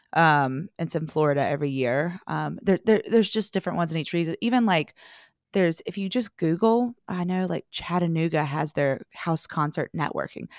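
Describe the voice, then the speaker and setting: Talking at a fairly quick pace, a woman with a slight North Carolina accent has a fairly low pitch and lively intonation. The sound is dry and close with no echo, in a very clean recording with a silent background. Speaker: singer-songwriter. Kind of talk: casual interview chat.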